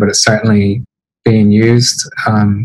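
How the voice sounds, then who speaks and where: A man speaks with a fairly low pitch and a monotone, flat intonation. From Northern Ireland, Belfast. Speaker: developer advocate and manager. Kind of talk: tech talk on a livestream. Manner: hesitant, many fillers.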